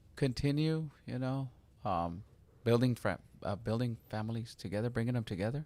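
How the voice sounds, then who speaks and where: Recorded very cleanly against a silent background, a man speaks at a moderate pace with ordinary pitch variation. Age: 50s. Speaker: pastor. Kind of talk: interview. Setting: church.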